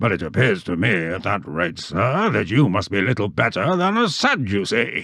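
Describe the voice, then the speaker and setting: A man puts on a booming character voice, fairly low in pitch, with lively intonation, a moderate pace and hardly any pauses over a quiet background. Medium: read story. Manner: blunt, hearty.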